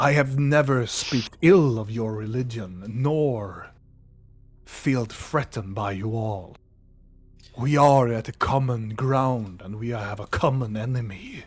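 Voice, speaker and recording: Using a put-on character voice, a man talks at a fairly slow pace and medium pitch. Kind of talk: archaic solemn speech. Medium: actual play. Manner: formal, slightly broken phrasing.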